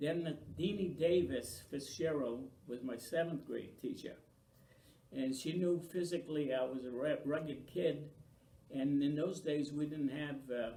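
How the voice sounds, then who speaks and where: A man speaks at a fairly slow pace, his pitch fairly high and somewhat breathy, with a dark, mellow tone. His pitch varies in an ordinary way, and the room echo is audible. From Maine, US (Franco-American). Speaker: oral history interviewee. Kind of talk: oral history interview.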